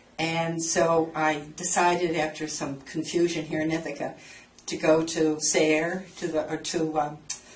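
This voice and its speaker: Amid noticeable background noise and audible room echo, a woman with a very deep, low pitch speaks at a fairly slow pace in a monotone, flat intonation. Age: 70s. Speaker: dermatology patient. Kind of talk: casual chat.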